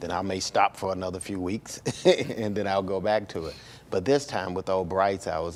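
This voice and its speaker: A man speaks in a very deep, low voice with a Southern US accent and fairly even intonation. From US South, Birmingham, Alabama. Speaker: filmmaker. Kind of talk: interview. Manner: halting, many fillers and repeats.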